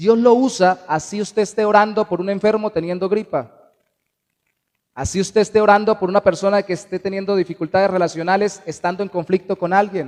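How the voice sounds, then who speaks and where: High-pitched male voice, fairly even in intonation, with a dry, close sound and no echo. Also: fairly quick pace. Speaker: pastor. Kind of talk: sermon. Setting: church. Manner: fast.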